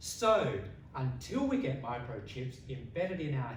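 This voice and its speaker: With an Australian accent, a man talks at a fairly slow pace using very wide pitch swings, amid noticeable background noise and audible room echo. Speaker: public speaking contestant. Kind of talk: competition speech. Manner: long pauses; slow, deliberate.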